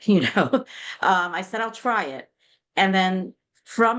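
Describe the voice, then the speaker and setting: Against a quiet background, a woman talks at a fairly slow pace with a medium pitch. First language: Yiddish. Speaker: literary translator. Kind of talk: interview conversation.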